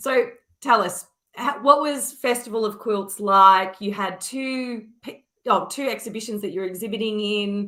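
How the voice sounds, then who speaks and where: A woman's fairly high, bright, sharp voice at a fairly slow pace, with ordinary pitch variation. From Australia. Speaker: online art course host. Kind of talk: interview.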